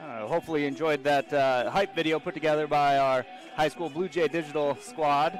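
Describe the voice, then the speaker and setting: Over music in the background, a man with an American accent talks at a fairly quick pace and fairly high pitch, with ordinary pitch variation. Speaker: high school football announcer. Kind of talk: live sports commentary. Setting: stadium broadcast booth.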